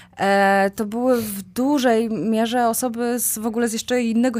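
A woman with a fairly high pitch and ordinary pitch variation is heard on a very clean recording with a silent background. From central Poland, Kozienice. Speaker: amputee with a leg prosthesis. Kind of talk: podcast interview. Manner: halting, many fillers and repetitions.

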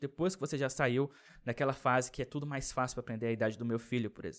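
A man speaks in a Brasília accent with ordinary pitch variation. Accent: Brazilian Portuguese, Brasília. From Brazil, Brasília. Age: 20s. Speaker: YouTuber. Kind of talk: casual vlog monologue. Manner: casual, filler-heavy.

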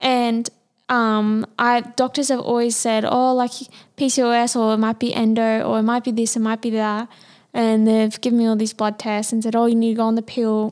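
A woman with an Australian accent and a fairly high pitch speaks at a moderate pace in a flat monotone. Her loudness stays very even, and the recording is very clean with a silent background. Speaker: podcast co-host. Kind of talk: casual chat.

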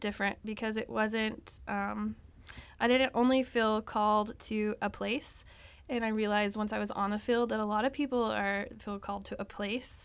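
A woman with an American accent talks at a moderate pace and a fairly high pitch. The recording is very clean, with a silent background. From Texas. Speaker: missionary physical therapy worker. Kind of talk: interview, casual testimony. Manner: hesitant, frequent fillers.

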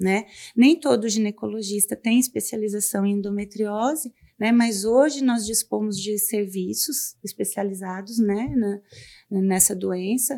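A woman of medium pitch at a fairly slow pace, ordinary pitch variation, an unremarkable speaking voice. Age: 40s. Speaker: gynecologist. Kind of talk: medical interview, explaining. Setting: studio.

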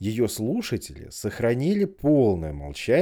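Someone is reading a text. It is reading aloud in a natural voice.

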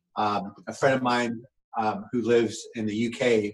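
Here is a man with a plain, everyday voice. His pitch sits in the medium range, and his intonation is fairly even. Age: 40s. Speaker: fitness coach. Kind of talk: casual chat.

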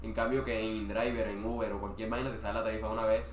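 Very fast, very deep, low speech from a man, with audible room echo and noticeable background noise. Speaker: podcast co-host. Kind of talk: casual chat.

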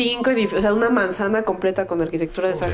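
With music playing in the background, the voice moves at a very fast pace with ordinary pitch variation. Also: woman. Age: 30s. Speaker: podcast host. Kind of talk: casual chat.

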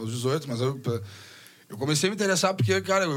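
A man's fairly high-pitched voice comes across as somewhat breathy. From southern Rio Grande do Sul, Brazil. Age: 30s. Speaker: bass player. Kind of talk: casual chat. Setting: studio. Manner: halting.

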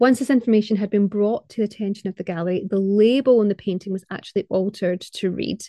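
With a Scottish accent, a woman speaks at a very fast pace with hardly any pauses, her medium-pitched, dark, mellow voice fairly even in intonation and the sound dry and close with no echo. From Scotland. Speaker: podcast host, art historian. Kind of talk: scripted narration.

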